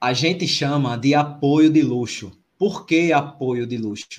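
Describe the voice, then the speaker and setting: Somewhat breathy and fairly high in pitch, a man's voice moves with ordinary pitch variation. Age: 40s. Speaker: podcast host, amateur runner. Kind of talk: casual chat.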